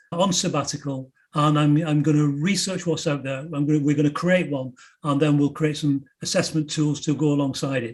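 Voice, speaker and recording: With fairly even intonation, the man talks in a fairly high voice. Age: 60s. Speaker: entrepreneur and emotional intelligence researcher. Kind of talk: interview conversation. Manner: halting with frequent repetitions.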